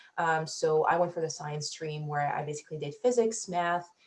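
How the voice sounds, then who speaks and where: A somewhat breathy woman's voice, fairly low in pitch. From Africa. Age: 20s. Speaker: PhD student, scientist. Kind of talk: Q&A panel answers.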